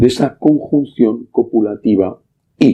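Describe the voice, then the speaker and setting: A man speaks at a very slow pace. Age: 60s. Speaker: priest. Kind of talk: sermon.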